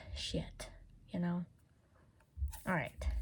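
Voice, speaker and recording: A woman's voice comes across as somewhat breathy. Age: 20s. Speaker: beauty vlogger. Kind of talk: casual makeup swatch video. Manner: says certain words slowly.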